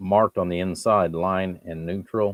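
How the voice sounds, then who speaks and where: A man talks at a fairly low pitch. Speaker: electronics hobbyist streamer. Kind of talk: live stream workshop tutorial. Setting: home workshop at the workbench. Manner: halting, pauses mid-thought.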